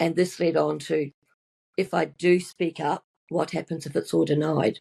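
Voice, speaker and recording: Dark and mellow with vocal fry, a woman's very deep, low voice moves at a moderate pace with fairly even intonation, in a dry, close sound with no echo. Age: 70s. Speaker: nurse and mindset coach. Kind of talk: interview testimony.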